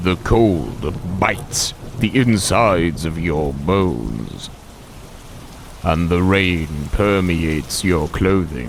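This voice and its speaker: A very slow delivery with lively intonation over clear background noise. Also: man, very deep, low pitch for a man. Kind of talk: bedtime story. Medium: read story. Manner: soft, soothing, affectionate.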